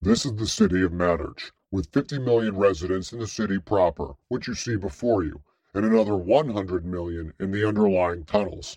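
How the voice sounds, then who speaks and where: Using a put-on character voice, a man speaks fairly low in pitch and at a fairly quick pace. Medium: read story. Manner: formal, precise, informative.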